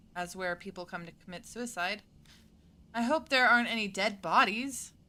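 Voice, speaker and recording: A woman with an American accent, medium in pitch, bright and sharp in tone, at a moderate pace with ordinary pitch variation, on a very clean recording with a silent background. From US South and Colorado. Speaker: gaming streamer. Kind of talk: let's play commentary. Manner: animated.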